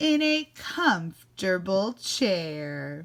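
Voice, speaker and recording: A woman with a medium pitch speaks with very wide pitch swings. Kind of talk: classroom read-aloud. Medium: read story. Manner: warm, animated.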